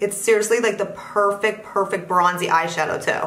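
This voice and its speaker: A woman speaks in an animated tone at a medium pitch and a fairly quick pace. Noticeable background noise and audible room echo are present. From Pennsylvania, US Northeast. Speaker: beauty vlogger. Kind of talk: casual chat.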